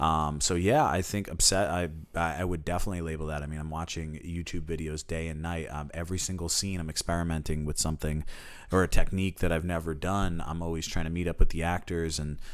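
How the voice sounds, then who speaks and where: Speaking at a very fast pace, a man with an American accent uses a very deep, low pitch and a monotone, flat intonation. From North Jersey, Bergen County. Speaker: film director. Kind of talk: casual chat. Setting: podcast interview.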